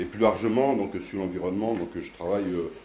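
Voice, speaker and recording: Audible room echo surrounds a man with a fairly low pitch. He speaks very fast with fairly even intonation. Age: 60s. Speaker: mayor and local councillor. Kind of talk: candidate speech at council meeting. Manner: halting, many hesitations.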